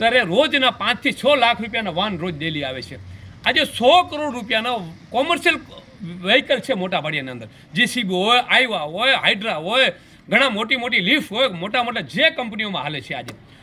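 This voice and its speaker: High male voice swinging very widely in pitch. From Kutch, Gujarat. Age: 50s. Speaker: local businessman and village figure. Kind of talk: news interview statement.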